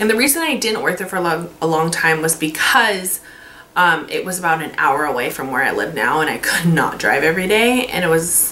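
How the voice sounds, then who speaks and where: Spoken at a fairly quick pace with lively intonation in an American accent, the voice carries audible room echo over noticeable background noise. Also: woman, fairly low pitch for a woman. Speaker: beauty vlogger, makeup artist. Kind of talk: casual vlog monologue. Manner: casual, filler-heavy.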